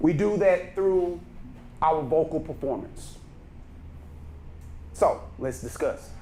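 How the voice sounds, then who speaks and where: In a Texan accent, a man talks at a very slow pace with long, frequent pauses amid audible room echo. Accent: Texas Southern. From Texas, Brenham. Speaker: speaking coach. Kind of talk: workshop lecture. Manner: naturally loud.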